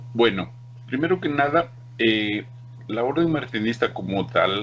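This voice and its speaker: Noticeable background noise runs through the clip. The man's intonation is lively. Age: 60s. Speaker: esoteric order leader. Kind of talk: interview.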